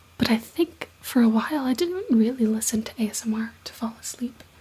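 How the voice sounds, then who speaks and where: A soft-spoken woman whispering over noticeable background noise. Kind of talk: ASMR whispered ramble. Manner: soft-spoken, whispered.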